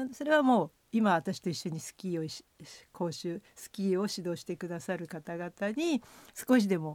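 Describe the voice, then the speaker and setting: Heard in a dry, close sound with no echo, a woman has a plain, everyday voice at a medium pitch with big swings in loudness. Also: lively intonation, moderate pace, very clean recording, silent background. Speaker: former cross-country skier and ski coach. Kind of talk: radio interview.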